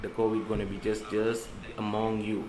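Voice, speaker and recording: Audible echo from the room surrounds the voice. A man talks at a medium pitch. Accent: non-native. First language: not English. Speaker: covid survivor sharing his story. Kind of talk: live stream monologue. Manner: halting.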